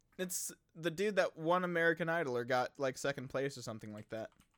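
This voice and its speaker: A man with a normal speaking voice talks at a fairly quick pace in a fairly high pitch, his intonation lively. His loudness swings a lot, and the sound is dry and close with no echo. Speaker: podcast co-host. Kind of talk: casual banter podcast. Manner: joking, playful, chatty.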